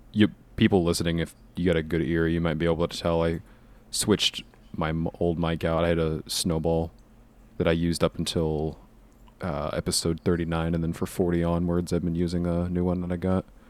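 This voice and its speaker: Flat and monotone, a man talks at a fairly quick pace in a very deep, low pitch. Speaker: podcast co-host and editor. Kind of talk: casual chat. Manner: loud. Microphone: new USB condenser mic with windscreen.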